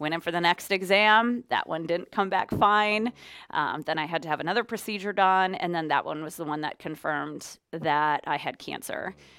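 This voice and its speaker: In a plain, everyday voice, a woman with an American accent speaks at a moderate pace, her pitch fairly low and its variation ordinary. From Minnesota. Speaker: radio DJ. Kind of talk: interview. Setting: studio, live on Facebook.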